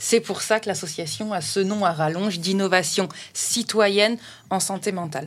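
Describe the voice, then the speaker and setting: A woman talks at a medium pitch and a moderate pace with ordinary pitch variation. Hers is a plain, everyday voice. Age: 30s. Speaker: festival founder, association president. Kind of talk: casual interview.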